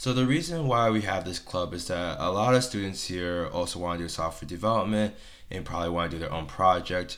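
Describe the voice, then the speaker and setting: Someone speaks at a fairly quick pace with audible room echo. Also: man, very deep, low pitch for a man, ordinary pitch variation. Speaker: engineering student, club officer. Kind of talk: casual chat.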